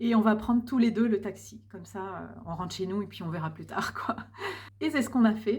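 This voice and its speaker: A woman's medium-pitched voice with vocal fry and big swings in loudness. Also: ordinary pitch variation, moderate pace. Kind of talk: personal vlog monologue.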